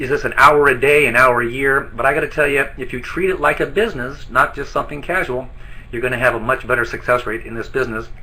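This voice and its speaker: This man talks at a very fast pace with a medium pitch and a bright, sharp tone. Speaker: network marketing distributor trainer. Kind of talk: training presentation. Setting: online webinar from an office.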